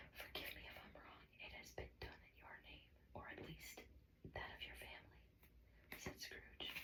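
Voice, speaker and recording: Someone whispers at a fairly slow pace. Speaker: ASMR storyteller. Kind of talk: audiobook reading. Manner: whispered.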